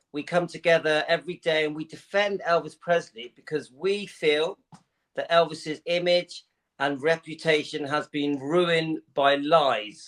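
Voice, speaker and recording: A man with an English accent talks at a fairly high pitch and a fairly slow pace, his intonation fairly even. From England. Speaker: YouTuber. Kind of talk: live interview. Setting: livestream.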